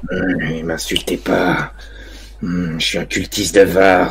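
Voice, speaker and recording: Slipping into a put-on character voice, a man growls in a gruff, raspy, very deep, low pitch at a fairly slow pace, with light background noise. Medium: actual play. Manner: gruff, insulting.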